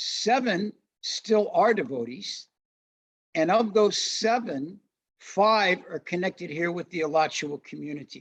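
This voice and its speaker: A man's high-pitched voice with lively intonation, a very slow pace, and long, frequent pauses. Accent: American. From US Midwest, St. Louis, Missouri. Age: 60s. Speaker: Hare Krishna devotee and religious teacher. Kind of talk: interview, personal testimony. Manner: relaxed, with frequent fillers.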